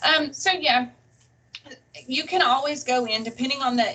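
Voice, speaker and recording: Speaking with a Southern US accent, a woman keeps a moderate pace and ordinary pitch variation. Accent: very Southern. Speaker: college English instructor. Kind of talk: webinar presentation.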